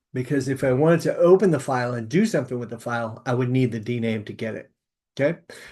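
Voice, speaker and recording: A man talks at a fairly quick pace in a medium pitch. His pitch varies in an ordinary way over a quiet background. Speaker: university lecturer. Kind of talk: recorded lecture. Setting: solo recording, no audience. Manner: fast; hesitant, many fillers.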